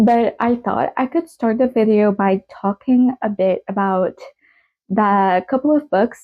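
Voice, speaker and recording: In a French Canadian accent, a woman talks at a fairly slow pace, her medium pitch showing ordinary variation. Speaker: book vlogger. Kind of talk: casual vlog talk.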